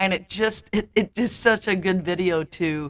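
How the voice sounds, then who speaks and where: Here is a woman with a plain, everyday voice, fairly low in pitch with ordinary variation. The sound is dry and close, with no echo. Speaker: podcast co-host and NLP coach. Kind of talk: casual chat.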